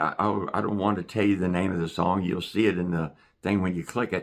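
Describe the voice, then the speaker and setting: The background is quiet. A man speaks in a Southwest Virginia accent. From Southwest Virginia, Appalachia. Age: 60s. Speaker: retired YouTuber and busker. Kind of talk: casual vlog monologue. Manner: halting, many fillers.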